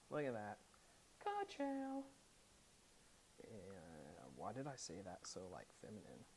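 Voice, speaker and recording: A very slow delivery against noticeable background noise. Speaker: audio equipment reviewer. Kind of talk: unboxing and setup walkthrough. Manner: casual, thinking aloud.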